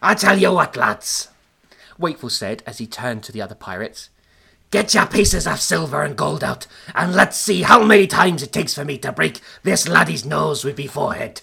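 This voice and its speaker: A man puts on a character voice in an Irish accent, pitched fairly high. His pitch swings very widely and his pace is fairly quick. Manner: boastful, taunting.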